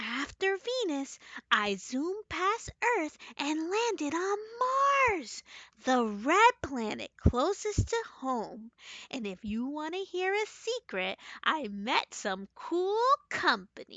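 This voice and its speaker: A put-on character voice with high pitch, very wide pitch swings and a fairly slow pace. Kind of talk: children's bedtime story. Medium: read story. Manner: cheerful, earnest.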